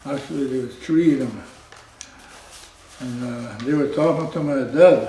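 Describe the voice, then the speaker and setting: Amid noticeable background noise and audible room echo, a man speaks at moderate pace with fairly even intonation and long, frequent pauses. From northwestern Ontario, Canada. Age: 70s. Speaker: residential school survivor. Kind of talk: testimony. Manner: halting.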